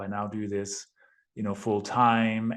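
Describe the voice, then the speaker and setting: At a fairly slow pace, a man with a Danish accent speaks in a fairly low pitch with a monotone, flat intonation. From Denmark. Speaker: real estate investor. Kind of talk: podcast interview.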